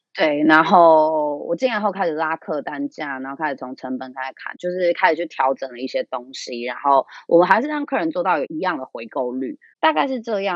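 Animated and with lively intonation, a woman talks at a fairly quick pace in a fairly low voice. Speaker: small business owner. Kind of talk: casual interview.

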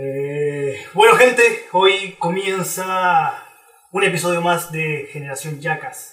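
Spoken at a very slow pace with ordinary pitch variation, the voice carries audible room echo. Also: man, high pitch for a man. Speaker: podcast host. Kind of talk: casual chat; scripted narration.

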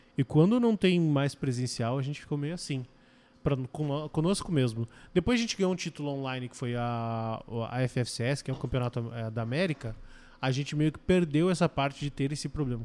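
An ordinary speaking voice from a man, fairly high in pitch, with ordinary pitch variation and a fairly quick pace. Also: very clean recording, silent background. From Curitiba, southern Brazil. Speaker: esports team coach. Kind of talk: casual chat.

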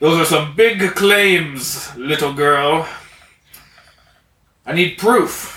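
Putting on a gruff character voice with a fairly high pitch, a man speaks at a very slow pace with long, frequent pauses and audible echo. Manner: skeptical, blunt.

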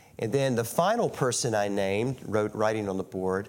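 With an Appalachian accent, a man speaks at a fairly low pitch with ordinary pitch variation. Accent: Appalachian American. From US South, West Virginia. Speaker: guest preacher. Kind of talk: sermon. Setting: church.

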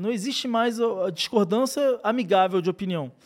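A man's fairly slow, lively-toned voice on a very clean recording with a silent background. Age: 30s. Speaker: podcast host. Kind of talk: casual chat.

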